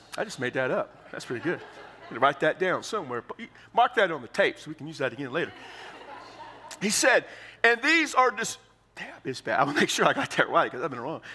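This man speaks in a high pitch with very wide pitch swings, big swings in loudness, and long, frequent pauses. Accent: American. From Texas. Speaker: pastor. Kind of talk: sermon. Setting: church.

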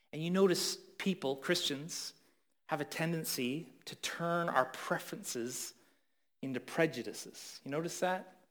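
At a fairly slow pace, a man with a Canadian accent speaks high-pitched with ordinary pitch variation and big swings in loudness. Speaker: pastor. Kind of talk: sermon.

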